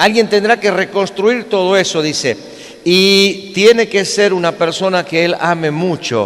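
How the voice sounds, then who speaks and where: Over noticeable background noise, a man with a Galician accent speaks at a fairly slow pace in a high pitch, his intonation fairly even. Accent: Galician-tinged Spanish. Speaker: preacher. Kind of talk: sermon.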